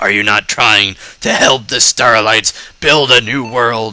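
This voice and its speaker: A man does a put-on character voice, raspy and at medium pitch. He talks at a fairly slow pace. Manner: imperious, threatening.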